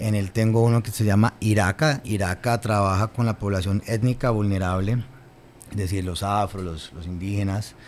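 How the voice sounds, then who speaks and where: Light background noise sits behind a man with an unremarkable speaking voice and a fairly low pitch. He keeps a moderate pace and fairly even intonation. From Colombia, Cali (Valle del Cauca); Colombia. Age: 30s. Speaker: government official; guest. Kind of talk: interview; interview answer. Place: studio. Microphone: studio mic.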